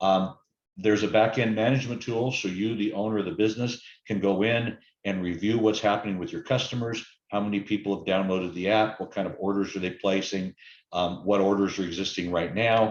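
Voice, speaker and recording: Against a quiet background, a man talks at a fairly quick pace with a fairly low pitch and fairly even intonation. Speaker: app vendor presenter. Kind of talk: webinar sales presentation. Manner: fast.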